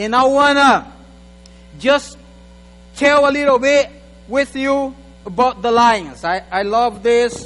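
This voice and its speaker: An extremely high-pitched man talks at a fairly slow pace in an animated tone. His pitch varies in an ordinary way. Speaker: guest preacher. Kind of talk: sermon. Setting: church.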